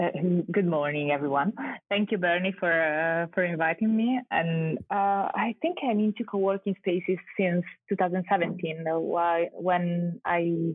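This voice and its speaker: Speaking in an Italian accent at a moderate pace, a woman with a fairly low pitch keeps her loudness very even and her pitch variation ordinary. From Italy. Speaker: architect and urban researcher. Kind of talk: podcast interview. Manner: halting.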